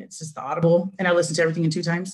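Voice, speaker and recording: Her voice carries a somewhat breathy quality. It belongs to a woman. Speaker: direct sales team member. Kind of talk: testimony. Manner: fast.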